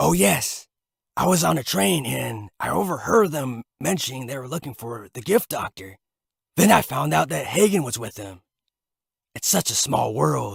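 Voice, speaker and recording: A man puts on a character voice at a medium pitch, with very wide pitch swings and big swings in loudness. The sound is dry and close with no echo, and the pace is moderate. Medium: read story. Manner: excited, talkative.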